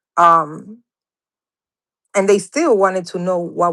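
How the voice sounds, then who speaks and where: Her strong Dominican accent comes through as a woman speaks at a fairly slow pace with fairly even intonation. The recording is very clean, with a silent background. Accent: heavy Dominican Spanish. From Dominican Republic, raised from childhood in New York. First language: Spanish. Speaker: interview guest sharing personal experiences. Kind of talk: testimony. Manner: halting.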